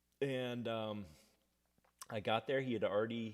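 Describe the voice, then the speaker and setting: A man speaks with a slight Southern accent. His pace is fairly slow. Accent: takes on slight Southern accent at times. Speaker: singer-songwriter. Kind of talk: casual chat. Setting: live stream from home. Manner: casual, halting with fillers.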